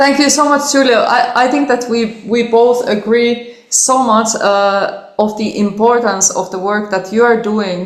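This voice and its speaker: A woman with a Finnish accent speaks at a fairly high pitch and a fairly slow pace. She leaves hardly any pauses. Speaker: cellist. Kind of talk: interview. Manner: animated.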